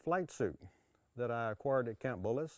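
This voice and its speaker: A man speaks with a dark, mellow tone. Behind him, the background is quiet. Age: 70s. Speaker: prescribed burn expert. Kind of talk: instructional talk. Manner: hesitant, with frequent fillers.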